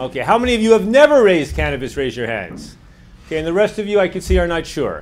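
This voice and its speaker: A man with a New York accent speaks with very wide pitch swings. The recording has audible room echo and noticeable background noise. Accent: American, New York. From United States. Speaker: drug policy activist. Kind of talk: lecture. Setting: lecture hall with audience. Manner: fast.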